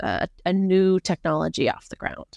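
Here is a woman with an American accent and a plain, everyday voice. She speaks at a moderate pace against a quiet background, the sound dry and close with no echo. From US, rural Montana. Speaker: government science program manager. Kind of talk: interview.

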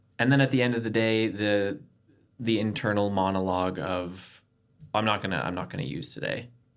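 Speaking with a Canadian accent, a man with a fairly low pitch and ordinary pitch variation talks at a fairly quick pace amid audible room echo. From Canada. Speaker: recovering addict sharing his story. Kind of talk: personal testimony in casual interview.

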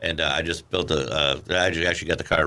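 With an American accent, a man speaks in a bright, sharp tone with vocal fry. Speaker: radio host. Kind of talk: casual chat. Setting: studio.

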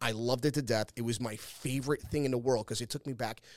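Talking at a very fast pace with a New York accent, a man uses a medium pitch and ordinary pitch variation. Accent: New York City. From Staten Island, New York. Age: 40s. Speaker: podcast host and former pro wrestler. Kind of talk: casual solo monologue. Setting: studio.

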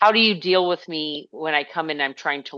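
A woman speaks at a fairly quick pace. Her tone is fairly bright, with ordinary pitch variation.

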